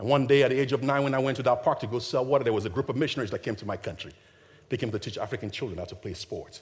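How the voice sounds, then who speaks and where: Speaking very fast with ordinary pitch variation, a man at a medium pitch has a slight Nigerian accent. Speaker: charity founder, motivational speaker. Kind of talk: keynote speech. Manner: animated.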